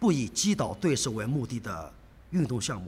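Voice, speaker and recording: A man's somewhat breathy voice sits fairly high and swings very widely in pitch. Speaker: karate coach. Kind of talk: interview. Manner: halting.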